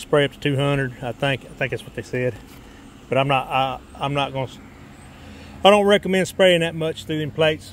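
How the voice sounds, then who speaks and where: With a dry sound and no echo, a man talks with ordinary pitch variation and big swings in loudness over light background noise. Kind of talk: casual vlog chat. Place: garage. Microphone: phone near.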